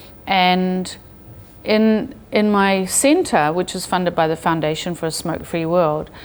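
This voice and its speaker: Ordinary pitch variation runs through a woman's fairly slow speech. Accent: New Zealand. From New Zealand. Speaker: public health researcher. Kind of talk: interview.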